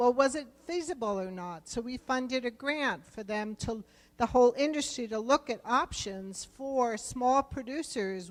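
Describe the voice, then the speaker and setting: Speaking with a New Jersey accent, a woman takes a fairly slow pace. Her intonation is lively. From US East Coast, New Jersey. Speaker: government program director for rural business loans. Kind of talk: conference presentation. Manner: conversational, with fillers.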